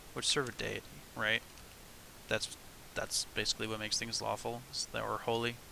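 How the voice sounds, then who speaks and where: A man speaks at a fairly quick pace and a medium pitch. His intonation is monotone and flat, broken by long, frequent pauses. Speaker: streamer, tabletop game designer. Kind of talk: casual livestream while working. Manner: halting; mumbling.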